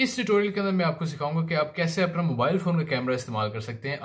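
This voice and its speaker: Over a quiet background, a man talks with lively intonation and a somewhat breathy voice. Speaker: tech tutorial host. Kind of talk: tutorial. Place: home room.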